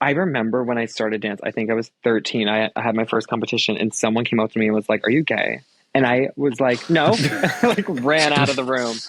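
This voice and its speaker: Speaking in an American accent with a normal speaking voice, a man talks at a fairly quick pace and medium pitch. His pitch variation is ordinary, his loudness very even, and the sound dry and close with no echo. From Long Island, New York. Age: 20s. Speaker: professional dancer. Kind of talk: casual chat. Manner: casual, filler-heavy.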